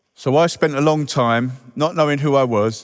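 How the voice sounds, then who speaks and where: A man with a Welsh accent, at a fairly slow pace, with ordinary pitch variation. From Wales. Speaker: recovery charity staff member, ex-offender. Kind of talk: recovery testimony speech. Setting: stage at reunion event with audience.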